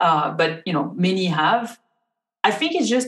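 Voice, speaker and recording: With a French accent, a woman speaks in a fairly low pitch and lively intonation. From France. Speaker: rheumatologist. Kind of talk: interview. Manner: halting.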